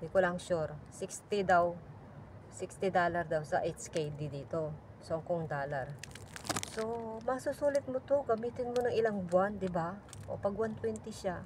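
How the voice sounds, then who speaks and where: Very wide pitch swings mark speech at a moderate pace amid noticeable background noise. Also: woman, medium pitch for a woman. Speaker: overseas domestic worker vlogger. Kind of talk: casual vlog product review. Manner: soft-spoken; halting.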